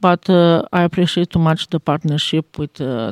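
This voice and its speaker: A woman's voice, dry and close with no echo. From Romania. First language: Romanian (speaking French). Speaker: teacher. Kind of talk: interview. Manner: halting.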